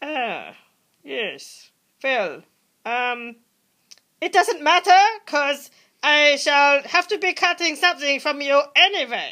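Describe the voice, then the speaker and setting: A put-on character voice, high-pitched and fairly slow, broken by long, frequent pauses. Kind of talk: comedy skit dialogue.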